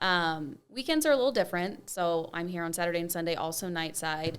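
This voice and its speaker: A woman's fairly low, plain, everyday voice with an American accent at a moderate pace, in a very clean recording with a silent background. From Arizona. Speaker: TV news anchor-reporter. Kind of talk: casual interview chat.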